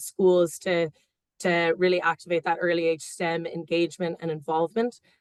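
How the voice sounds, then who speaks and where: A woman speaks at a moderate pace with a fairly low pitch. The sound is dry and close, with no echo. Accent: American. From United States. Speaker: engineer, award finalist. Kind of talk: panel interview. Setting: webinar video call.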